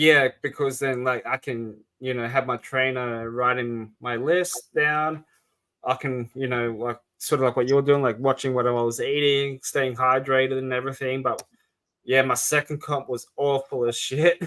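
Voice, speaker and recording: A man with an Australian accent speaks at a moderate pace and a medium pitch. His tone is bright and sharp, with monotone, flat intonation. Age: 30s. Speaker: podcast host. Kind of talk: casual chat. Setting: podcast recording.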